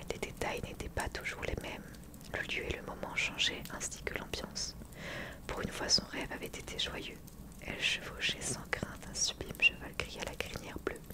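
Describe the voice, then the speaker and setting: The speech is whispered at a moderate pace. Noticeable background noise sits behind it. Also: woman. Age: 20s. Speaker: YouTuber reading a book aloud. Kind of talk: whispered fireside book reading, cozy bedtime-style.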